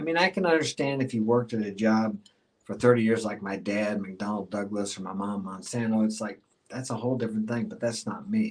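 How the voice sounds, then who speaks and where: Speaking at a fairly quick pace, a man uses a medium pitch and lively intonation. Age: 60s. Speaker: life coach. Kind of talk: casual chat. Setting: live stream interview. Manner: animated.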